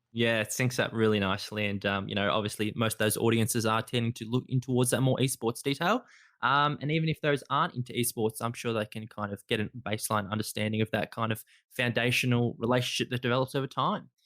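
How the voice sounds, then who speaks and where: A man with an Australian accent at a very fast pace, in a dry, close sound with no echo. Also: medium pitch for a man, fairly even intonation, very clean recording, silent background. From Australia, Melbourne. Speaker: podcast host. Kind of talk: interview.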